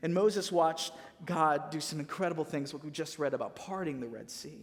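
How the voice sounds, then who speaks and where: Talking at a fairly quick pace with an American accent, a man with a fairly high pitch has an ordinary speaking voice. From Missouri, US Midwest. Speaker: pastor. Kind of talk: sermon. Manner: casual, conversational.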